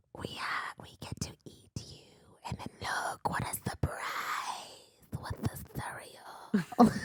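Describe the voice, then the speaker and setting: Speaking in a put-on character voice, this raspy delivery moves at a very slow pace with hardly any pauses. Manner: creepy.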